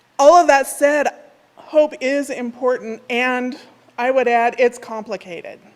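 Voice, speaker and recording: At a fairly slow pace, a woman with a high pitch talks with ordinary pitch variation. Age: 60s. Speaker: minister. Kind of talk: sermon. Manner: conversational.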